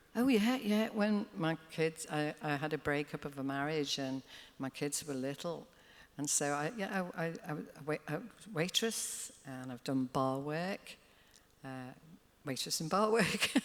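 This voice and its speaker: A woman with a Liverpool accent and a very deep, low pitch speaks at a fairly slow pace with lively intonation. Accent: Scouse. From Liverpool, England. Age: 70s. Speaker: singer. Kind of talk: live interview. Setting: stage with audience.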